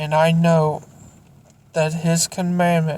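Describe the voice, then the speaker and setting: A woman speaks very slowly in a fairly low, somewhat breathy voice with flat, monotone intonation. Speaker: Bible reading channel owner. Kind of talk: reading aloud; casual outro. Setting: near a car warming up.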